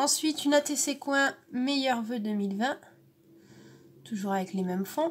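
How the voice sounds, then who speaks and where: A high-pitched woman speaks with lively intonation at a very slow pace. Her long, frequent pauses sit over light background noise. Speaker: scrapbooking vlogger. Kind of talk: casual unboxing vlog. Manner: hesitant, many fillers. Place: home room. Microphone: camera far.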